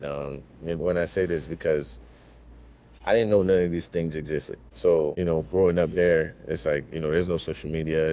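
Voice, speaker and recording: At a fairly quick pace, a man speaks with a very deep, low pitch and a dark, mellow tone. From Haiti. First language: Haitian Creole or French. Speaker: videographer. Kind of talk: casual interview. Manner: halting.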